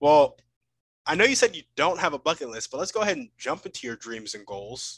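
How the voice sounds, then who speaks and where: A man talks at a fairly quick pace in a fairly high voice with vocal fry. His loudness swings widely, and the sound is dry and close, with no echo. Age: 20s. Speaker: podcast host. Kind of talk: casual interview.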